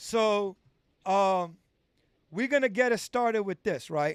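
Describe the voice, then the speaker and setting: Recorded with a dry, close sound and no echo, a man with a New York accent talks with ordinary pitch variation. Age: 40s. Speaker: livestream host. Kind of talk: interview. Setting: livestream.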